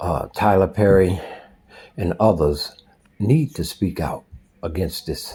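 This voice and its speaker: Speaking very slowly in a very deep, low voice with an American accent, a man sounds somewhat breathy, with lively intonation and long, frequent pauses. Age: 60s. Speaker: social commentator. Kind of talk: spoken commentary. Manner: forceful.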